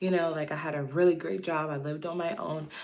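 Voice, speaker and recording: Her words come at a fairly quick pace. The woman's voice carries audible room echo. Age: 30s. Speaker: lifestyle vlogger. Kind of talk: casual personal vlog monologue. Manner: casual, filler-heavy.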